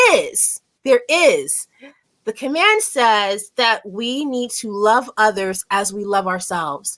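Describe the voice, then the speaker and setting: Loud and bright with a sharp tone, a woman speaks with lively intonation. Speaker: show host. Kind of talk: casual chat.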